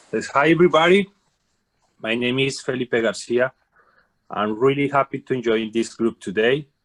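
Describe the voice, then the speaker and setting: Speaking with a Colombian accent, a man with a medium pitch and ordinary pitch variation is recorded with a dry, close sound and no echo. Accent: Colombian Spanish accent, non-native English. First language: Spanish. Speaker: carpenter, club guest. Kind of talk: self-introduction.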